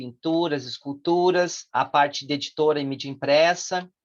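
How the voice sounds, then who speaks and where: Against a quiet background, a man talks fairly slowly in an ordinary speaking voice, fairly high in pitch, with fairly even intonation. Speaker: course instructor. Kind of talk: online lecture.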